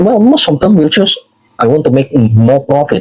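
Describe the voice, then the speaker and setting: A man with an Indonesian accent and lively intonation. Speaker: social media commentator. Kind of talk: political commentary monologue. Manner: halting, frequent fillers.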